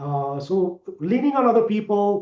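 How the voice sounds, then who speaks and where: This is a man's voice. He talks fairly slowly in a non-native accent. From India. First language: not English. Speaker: sales executive. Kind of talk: interview.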